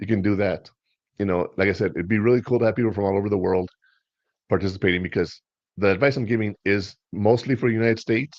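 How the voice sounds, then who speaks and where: A man speaks very fast with a Spanish accent. His pitch is fairly low and his intonation fairly even. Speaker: podcast host. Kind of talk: casual chat.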